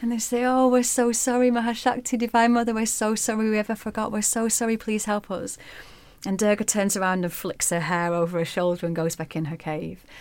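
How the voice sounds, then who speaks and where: Speaking in an unremarkable speaking voice, a woman keeps a fairly quick pace. Her pitch is fairly high, with ordinary variation. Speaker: yoga teacher. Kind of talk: bedtime story telling, retelling a myth. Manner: warm, calm, reflective.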